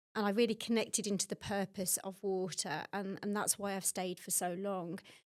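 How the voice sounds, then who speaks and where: Here a woman with a Birmingham accent speaks at a medium pitch. Her pace is fairly quick, on a very clean recording with a silent background. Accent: Birmingham (Brummie). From Birmingham, England. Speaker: water industry executive. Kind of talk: podcast interview.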